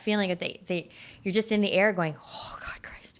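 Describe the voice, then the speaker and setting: This woman has a Canadian accent. Her voice sits at a medium pitch. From Vancouver, Canada. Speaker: sandwich shop owner. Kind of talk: casual interview chat. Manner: loud; animated.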